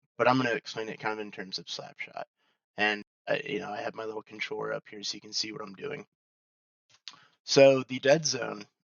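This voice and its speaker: Vocal fry runs through a man's speech, his pitch varying in an ordinary way. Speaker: gamer. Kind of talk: casual gaming tutorial. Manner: casual, hesitant.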